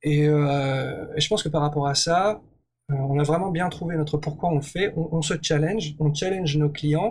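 A man speaks at a fairly slow pace in a fairly high pitch, sounding somewhat breathy. His loudness stays very even throughout. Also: fairly even intonation. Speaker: entrepreneur. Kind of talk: interview. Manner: hesitant.

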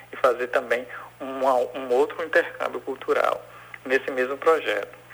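A man is talking. His pace is moderate. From Bahia, Brazil (Salvador). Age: 40s. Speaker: cultural producer. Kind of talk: interview. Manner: halting.

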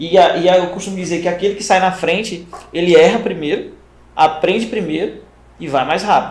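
A man with a high pitch talks at a fairly quick pace, his intonation fairly even. His loudness swings widely, and the room echo is audible. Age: 30s. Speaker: podcast host, first aid training company. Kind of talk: casual interview chat.

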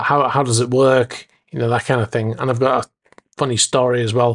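In an American accent, a man speaks at a moderate pace and medium pitch, the sound dry and close with no echo. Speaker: podcast host. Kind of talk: casual solo podcast.

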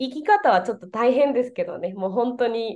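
Lively intonation carries the speech, delivered in a Spanish accent. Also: woman. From Venezuela. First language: Spanish (speaking Japanese). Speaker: Japanese teacher. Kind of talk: casual interview. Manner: halting, many fillers.

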